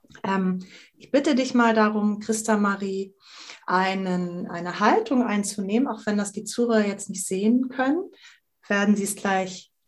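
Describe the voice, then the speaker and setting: A woman speaks at a moderate pace with a fairly high, somewhat breathy voice. Her intonation is lively. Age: 50s. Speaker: improv actress and workshop facilitator. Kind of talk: casual interview conversation.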